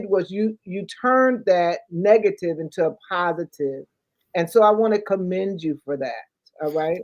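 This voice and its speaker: Dry and close with no echo, this recording captures a woman with an unremarkable speaking voice, medium pitch, lively intonation, and a moderate pace. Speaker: talk show host. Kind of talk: talk show hosting.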